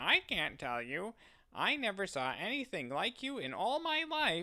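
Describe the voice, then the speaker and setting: A put-on character voice moves at a moderate pace, fairly high in pitch with very wide pitch swings. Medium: read story. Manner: saucy, mocking.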